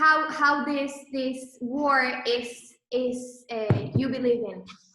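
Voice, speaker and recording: In a raised, projected voice, a woman speaks at a high pitch and a very slow pace. Her intonation is monotone and flat, with audible room echo. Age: 20s. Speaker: entrepreneur, clothing brand co-founder. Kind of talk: presentation to online audience. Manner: hesitant, many fillers.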